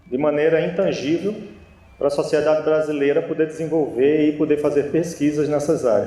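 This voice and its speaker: In a northeastern Brazilian accent, a man with a fairly high pitch and a dark, mellow tone speaks amid audible room echo. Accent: northeastern Brazilian (Natal), noticeable. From Brazil, Natal (Rio Grande do Norte). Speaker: naval officer and engineer. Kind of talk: conference lecture.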